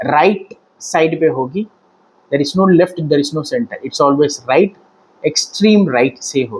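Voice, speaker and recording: Lively intonation from a man with a fairly high pitch, at a moderate pace. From Tamil Nadu, India. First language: Tamil (speaking Hindi). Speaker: political commentator. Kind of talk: political commentary monologue. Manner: halting, with fillers.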